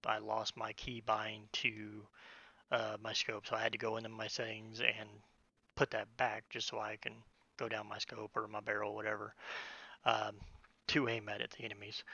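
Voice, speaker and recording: A man with vocal fry, monotone, flat intonation and long, frequent pauses. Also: moderate pace. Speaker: gaming streamer. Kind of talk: casual live-stream game commentary.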